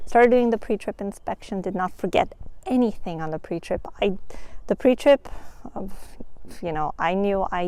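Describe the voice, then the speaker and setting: Soft-spoken, the woman has a dark, mellow tone. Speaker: vlogger and new truck driver. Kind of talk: casual vlog. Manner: animated. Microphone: new microphone.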